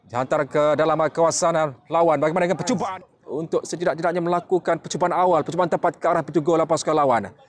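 Over noticeable background noise, a high-pitched man talks at a very fast pace with hardly any pauses. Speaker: football commentator. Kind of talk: live football commentary, play-by-play. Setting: football pitch, friendly match. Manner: fast, animated, rising-and-falling excitement at chances and goals.

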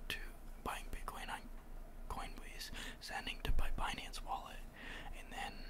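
Loud background noise surrounds speech at a fairly slow pace with long, frequent pauses. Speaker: ASMR channel host. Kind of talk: ASMR crypto talk.

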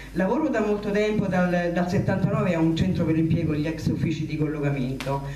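A woman speaks with hardly any pauses. Audible room echo and light background noise surround her. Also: fairly low pitch for a woman, ordinary pitch variation, moderate pace. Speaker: candidate. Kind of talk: public speech. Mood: nervous, emotional. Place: hall. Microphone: handheld.

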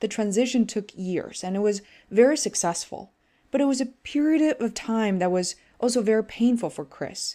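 A woman with a Chinese accent, a fairly high pitch, a dark, mellow tone, lively intonation and a moderate pace. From China. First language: Mandarin Chinese. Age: 30s. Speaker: podcast host. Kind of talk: scripted intro and casual interview.

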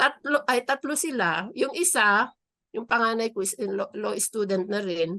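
The sound is dry and close with no echo as a woman speaks in a bright, sharp tone. Her intonation is lively and her pace fairly slow. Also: fairly high pitch for a woman. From Philippines, Isabela. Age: 60s. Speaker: new lawyer, local government employee. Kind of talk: interview.

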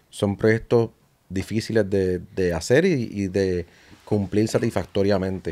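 A man talks at a fairly slow pace with a fairly low pitch. His tone is dark and mellow, and his intonation fairly even. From Puerto Rico. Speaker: podcast host; podcast guest. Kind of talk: casual interview chat. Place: studio. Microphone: studio mic.

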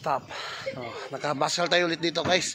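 At a moderate pace, a man speaks over light background noise in a dry sound with no echo. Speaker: motorbike travel vlogger. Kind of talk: casual vlog chat. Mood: cheerful, relaxed. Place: street. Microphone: phone near.

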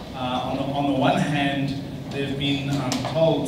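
A man is speaking in a space with audible room echo. Loud background noise runs underneath. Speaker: panel moderator. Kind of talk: panel moderation introduction. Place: hall.

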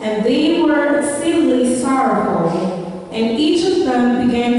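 A woman's high-pitched voice carries strong room echo. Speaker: scripture reader. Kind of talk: scripture reading. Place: church. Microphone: pa.

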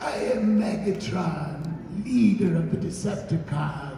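A raspy, put-on character voice moves at a fairly slow pace through a strong echo and clear background noise. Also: man, high pitch for a man. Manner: menacing.

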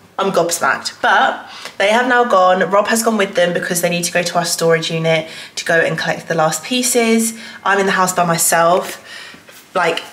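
A woman speaks at a moderate pace with ordinary pitch variation. Light background noise and audible room echo are present. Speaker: vlogger. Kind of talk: casual vlog chat. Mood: excited, a bit anxious. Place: home room. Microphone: phone near.

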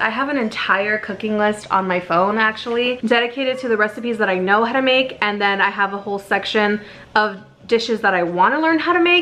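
A woman's voice with faint music in the background. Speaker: cooking vlogger. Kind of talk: casual vlog chat. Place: kitchen.

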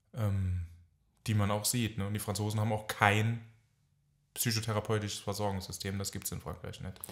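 Speaking at a fairly quick pace but with long, frequent pauses, a man uses a fairly low, somewhat breathy voice in a monotone, flat intonation. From France, German family. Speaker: psychotherapist. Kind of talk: casual chat.

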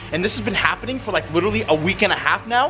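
Over music in the background, a man talks with lively intonation. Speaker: vlogger. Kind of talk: casual vlog chat. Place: garden. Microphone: phone near.

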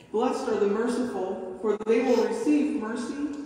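Very slow speech rings with strong room echo over light background noise. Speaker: pastor reading scripture. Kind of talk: scripture reading. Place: church.

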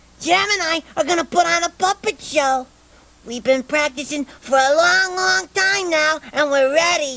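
A cartoonish character voice with a high pitch moves along at a moderate pace. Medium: puppet show. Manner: earnest, eager, gentle.

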